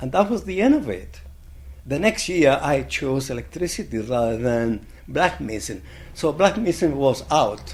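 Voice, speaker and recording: With a Spanish accent and audible room echo, a man speaks at medium pitch and a moderate pace, his pitch swinging very widely. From Chile. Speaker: blacksmith. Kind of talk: oral history interview. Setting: conference.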